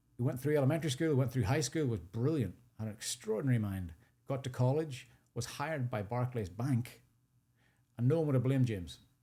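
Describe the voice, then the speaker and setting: A man with a Northern Irish accent speaks very fast, his voice somewhat breathy. His tone is dark and mellow, and his pitch varies in an ordinary way. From Northern Ireland, rural sheep farm. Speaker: charity founder and CEO. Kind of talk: podcast interview.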